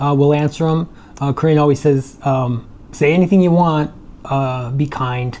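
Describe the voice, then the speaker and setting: A man with an American accent and an unremarkable speaking voice, fairly high in pitch, at a moderate pace with fairly even intonation. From Michigan, US. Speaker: retired tech worker and vlogger. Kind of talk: casual chat. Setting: home condo by the beach, on video.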